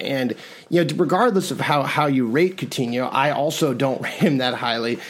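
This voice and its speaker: Fairly high male voice, moderate tempo, ordinary variation in pitch, noticeable noise behind it. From New York, partly raised in Spain. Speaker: soccer podcast host and writer. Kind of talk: casual chat. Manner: animated.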